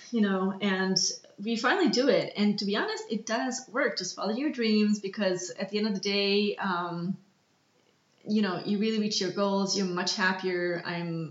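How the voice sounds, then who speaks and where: A woman with a medium pitch talks at a moderate pace. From Canada and Austria (Toronto, Vienna). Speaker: illustrator and art director. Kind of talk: casual chat. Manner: animated.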